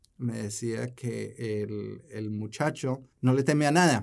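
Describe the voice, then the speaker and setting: A man speaks at a very slow pace in a medium-pitched voice. His intonation stays fairly even. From Colombia. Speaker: small business development director. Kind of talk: interview.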